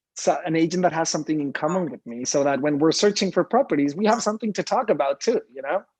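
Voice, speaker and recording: A man with a Spanish accent talks at a very fast pace in a high voice with lively intonation. The sound is dry and close, with no echo. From Mexico. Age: young. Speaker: real estate agent. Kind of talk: casual interview. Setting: live video stream.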